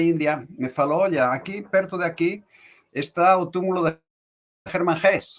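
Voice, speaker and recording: A man with a Spanish accent speaks fairly slowly in a high voice. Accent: Spanish accent in Portuguese, noticeable. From Spain (born Morocco). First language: Spanish (speaking Portuguese). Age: 70s. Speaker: tarot reader, teacher and author. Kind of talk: interview. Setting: live video call.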